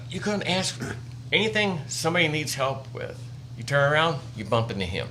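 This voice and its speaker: In an American accent, a man with a fairly high pitch speaks with lively intonation amid noticeable background noise and audible room echo. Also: moderate pace. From US Midwest, northwest Indiana. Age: 60s. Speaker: wildlife educator, army veteran. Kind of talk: casual interview chat.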